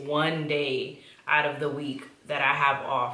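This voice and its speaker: A woman speaks with a New York accent. Noticeable background noise and audible room echo surround her. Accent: New York (Bronx) English. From New York City (Bronx), Dominican-Honduran family. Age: 20s. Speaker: YouTuber. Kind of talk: casual chat.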